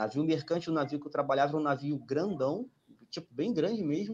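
An unremarkable speaking voice moves at a fairly quick pace with lively intonation. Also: man. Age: 20s. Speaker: merchant navy engineer and exam tutor. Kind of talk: casual chat. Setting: live stream.

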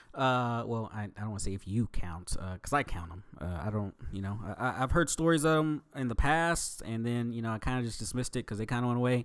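Quick-paced and lively in intonation, a man with an unremarkable speaking voice talks at a medium pitch on a very clean recording with a silent background. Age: 20s. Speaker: podcast host and trainee wrestler. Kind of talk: casual solo monologue. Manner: casual with frequent fillers.

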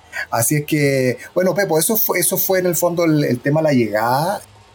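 A man speaking at a fairly slow pace with ordinary pitch variation amid noticeable background noise. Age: 50s. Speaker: former record label press officer. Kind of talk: interview.

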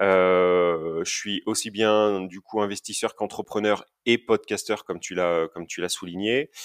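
On a very clean recording with a silent background, a man speaks at a very slow pace, dry and close with no echo. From Basque Country, France. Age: 30s. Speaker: property investor. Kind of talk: interview. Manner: outspoken.

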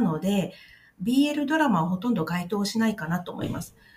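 Pitch swings very widely as a woman talks. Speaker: podcast host, Thai-Japanese video translator. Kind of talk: casual explainer podcast. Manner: halting with many fillers.

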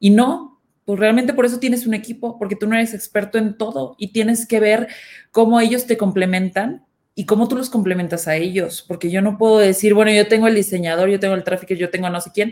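The woman has an unremarkable speaking voice with a fairly high pitch. She talks at a fairly quick pace with ordinary pitch variation. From northern Mexico, Nuevo León. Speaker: marketing head. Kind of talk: panel discussion.

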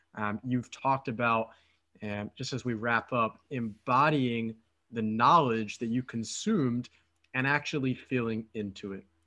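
In a Philadelphia accent, a man speaks fairly slowly with fairly even intonation and a medium pitch. His tone is bright and sharp, and the background is quiet. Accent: Philadelphia American English. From Philadelphia, US. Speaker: podcast host and dating coach. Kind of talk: casual interview chat. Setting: remote call.

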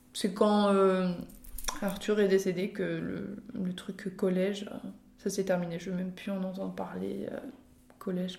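A woman's medium-pitched, monotone, flat voice at a very slow pace, with audible room echo. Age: 20s. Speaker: podcast guest sharing personal story. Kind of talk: personal testimony in casual chat. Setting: at the host's parents' home. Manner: hesitant, many fillers and repetitions.

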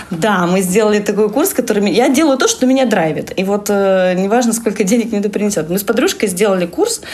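A woman of medium pitch talks at a fairly quick pace with ordinary pitch variation and very even loudness. There is noticeable background noise. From Russian Far East, Vladivostok. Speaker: education lead, VR lab researcher. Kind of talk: casual interview. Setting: at her lab office.

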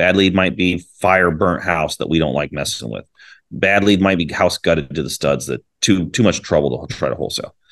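A man with a very deep, low pitch, vocal fry, ordinary pitch variation and a fairly quick pace, against a quiet background. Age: 40s. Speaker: real estate investor. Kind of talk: interview.

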